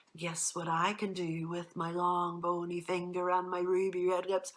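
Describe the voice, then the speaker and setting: Someone speaks in a put-on character voice at a moderate pace with monotone, flat intonation. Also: woman, fairly low pitch for a woman. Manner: menacing, teasing.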